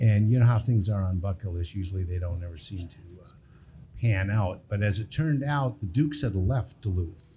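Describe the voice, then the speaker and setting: Speaking at a fairly quick pace, a man has a dark, mellow tone that is somewhat breathy, with big swings in loudness. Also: fairly low pitch for a man, ordinary pitch variation. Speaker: baseball team owner. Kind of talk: live podcast interview. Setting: brewery with live audience. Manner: soft-spoken.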